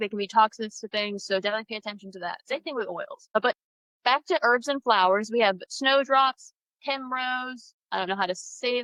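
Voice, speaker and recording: Her pitch fairly high, a woman speaks at a fairly quick pace with ordinary pitch variation and big swings in loudness. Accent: American. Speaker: pagan livestream co-host. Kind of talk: casual live-stream chat. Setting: Facebook live stream.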